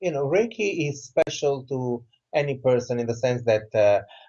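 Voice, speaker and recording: A man's lively intonation with an Italian accent. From southern Italy. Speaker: author and Reiki teacher. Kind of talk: interview.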